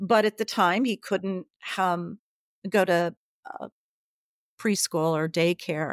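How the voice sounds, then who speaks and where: On a very clean recording with a silent background and a dry, close sound with no echo, a woman with a Midwestern American accent speaks at a very slow pace in a medium pitch, with fairly even intonation and long, frequent pauses. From US Midwest, central Illinois. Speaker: author. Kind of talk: interview.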